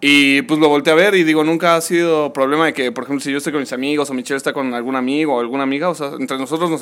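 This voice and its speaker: A man speaks at a very fast pace with fairly high pitch for a man. His intonation stays fairly even. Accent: Mexican. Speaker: podcast co-host. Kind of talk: casual chat.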